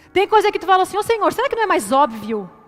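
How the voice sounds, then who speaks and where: A woman's pitch swings very widely as she talks in an animated tone. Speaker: preacher. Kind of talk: sermon.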